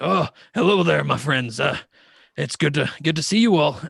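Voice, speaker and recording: Using a put-on character voice, a man speaks at a moderate pace with a raspy, fairly high-pitched sound. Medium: actual play. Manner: boisterous, friendly.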